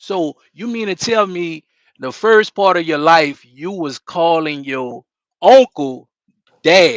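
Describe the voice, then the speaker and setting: A man in a New Orleans accent, high-pitched, with lively intonation, a very slow pace and big swings in loudness. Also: dry, close sound with no echo. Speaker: live stream host. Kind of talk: interview. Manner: casual.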